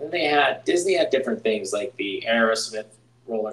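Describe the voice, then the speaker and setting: A man with an American accent over noticeable background noise. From Pittsburgh, Pennsylvania. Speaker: podcast host. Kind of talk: casual chat.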